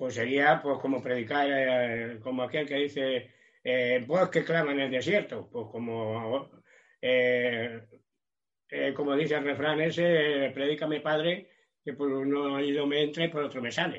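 A man speaks at a fairly slow pace. His voice sits fairly high, with fairly even intonation. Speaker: preacher. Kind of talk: sermon. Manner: halting, many repetitions.

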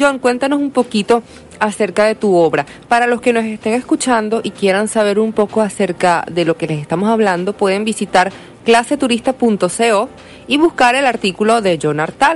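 Over noticeable background noise, a woman with a fairly high pitch speaks at a moderate pace with very wide pitch swings. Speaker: radio host. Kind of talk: radio interview. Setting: radio studio.

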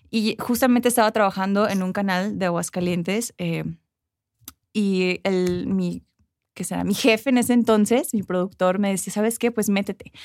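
This woman's medium-pitched voice moves at a moderate pace with fairly even intonation. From United States, Mexican immigrant parents. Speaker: former beauty pageant queen and journalist. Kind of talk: interview. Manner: eloquent.

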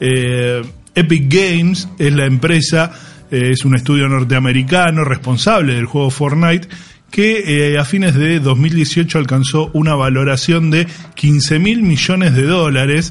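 An unremarkable speaking voice with ordinary pitch variation and very even loudness. The pace is fairly slow. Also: man, fairly high pitch for a man. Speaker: radio host. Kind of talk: casual chat.

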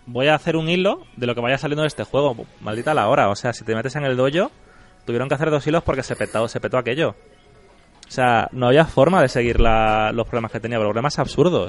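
His pitch sits in the middle range and varies in an ordinary way while the man rattles along at a very fast clip. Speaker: podcast host. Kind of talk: casual chat.

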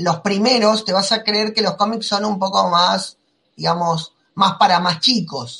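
A man speaks at a moderate pace in a raised, projected voice, his high pitch carrying a bright, sharp tone and ordinary pitch variation. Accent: Argentine. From Argentina. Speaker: comics podcast host. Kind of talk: casual chat.

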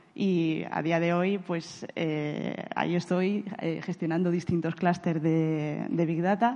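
In a Castilian accent, a woman with a fairly low pitch speaks at a very slow pace with hardly any pauses and fairly even intonation. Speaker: big data architect. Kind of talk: conference talk. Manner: halting, frequent repetitions and fillers.

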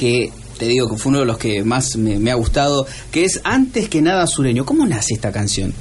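A man with a medium pitch and lively intonation talks at a moderate pace over noticeable background noise. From Argentina. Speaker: radio host. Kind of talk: casual chat.

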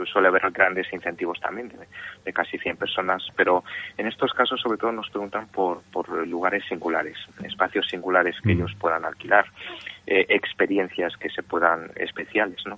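Over noticeable background noise, a man speaks at a moderate pace, his loudness swinging widely. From Spain, Madrid (born in Osaka, Japan; moved at about 3). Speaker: tourism board communications officer. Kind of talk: interview.

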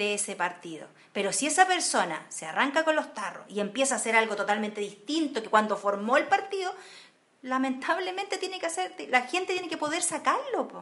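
A woman with a high pitch talks fairly quickly, her pitch swinging very widely. Her loudness rises and falls sharply against noticeable background noise. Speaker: podcast co-host. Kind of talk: casual political discussion.

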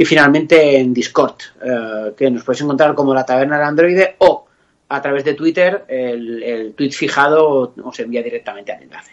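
This man has a normal speaking voice, fairly high in pitch, with ordinary pitch variation, a moderate pace and big swings in loudness. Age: 40s. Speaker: podcaster guest. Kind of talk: casual chat.

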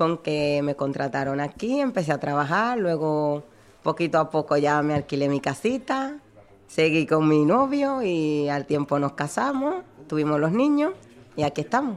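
Speaking at a fairly slow pace, a woman with a very deep, low voice uses lively intonation in a Dominican accent. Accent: Dominican accent noticeable. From Dominican Republic, Santo Domingo. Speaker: bar worker. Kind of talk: interview.

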